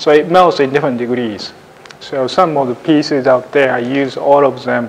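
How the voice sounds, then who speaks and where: Light background noise sits behind a man's voice. His pitch varies in an ordinary way. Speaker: ceramic artist demonstrating glazes. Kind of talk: demonstration talk. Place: classroom. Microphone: lapel.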